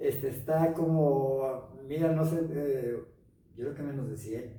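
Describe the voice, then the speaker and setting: A man speaks very slowly in a dark, mellow tone, somewhat breathy and with fairly even intonation, as room echo is audible. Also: fairly high pitch for a man. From Mexico, Los Altos de Jalisco (Jalostotitlán). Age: 70s. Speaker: broadcaster, actor, writer and painter. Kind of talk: interview. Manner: halting.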